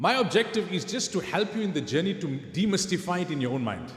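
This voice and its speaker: A somewhat breathy man talks at a fairly quick pace with lively intonation. Audible room echo surrounds his voice. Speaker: Islamic scholar and lecturer. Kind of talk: lecture.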